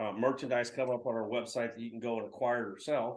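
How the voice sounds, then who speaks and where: Speaking at a fairly quick pace, a man has an American accent. His intonation is monotone and flat. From Texas, San Antonio. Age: 60s. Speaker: publisher. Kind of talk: interview. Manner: halting, many fillers.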